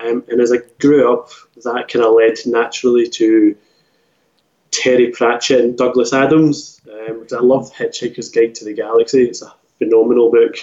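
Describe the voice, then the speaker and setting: A man with a Scottish accent speaks at medium pitch and a moderate pace in a flat, monotone way. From Scotland; Glasgow. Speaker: author. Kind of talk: casual interview chat. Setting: remote call.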